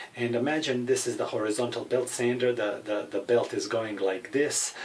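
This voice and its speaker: A man's medium-pitched voice with a European accent, fairly even intonation and a moderate pace, amid noticeable background noise. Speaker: gun hobbyist. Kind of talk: tutorial. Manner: hesitant, many fillers.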